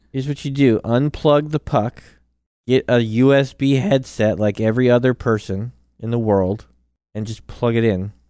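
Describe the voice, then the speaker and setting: A man speaks playfully at a moderate pace, his medium-pitched voice dark and mellow with ordinary pitch variation. The sound is dry and close with no echo. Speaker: podcast co-host and gamer. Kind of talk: casual banter about gaming. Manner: playful, joking.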